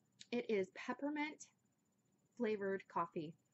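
At a fairly slow pace, a woman speaks at medium pitch with lively intonation.

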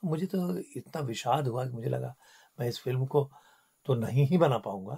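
On a very clean recording with a silent background, a man speaks with lively intonation in a somewhat breathy, dark and mellow tone. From Kumaon, Uttarakhand, India. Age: 60s. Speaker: filmmaker and former broadcaster. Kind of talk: radio interview. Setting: radio studio.

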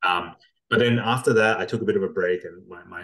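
A man talks at a very fast pace in an Australian accent. The background is quiet. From Australia, Darwin. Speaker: tech company founder and CEO. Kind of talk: interview. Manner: hesitant, many fillers and repeats. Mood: relaxed, storytelling. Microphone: video call.

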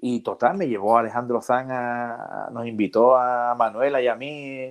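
The background is silent. A man does the talking. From Jerez de la Frontera, Andalusia, Spain; Andalusia, Spain. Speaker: comedian. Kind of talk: casual chat. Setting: video call. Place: home room. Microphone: earbuds.

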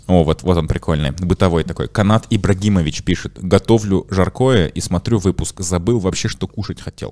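A man speaks at a very deep, low pitch and a moderate pace, with hardly any pauses. His pitch variation is ordinary, and the background is quiet. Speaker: podcast host. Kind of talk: casual chat. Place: studio. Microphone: studio mic.

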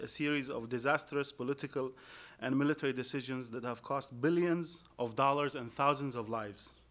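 Here a man talks with an Arabic accent. His pace is fairly quick. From Iraq. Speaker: Arabic literature scholar and poet. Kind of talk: panel talk. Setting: stage with audience. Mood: critical, measured. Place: classroom. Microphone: podium.

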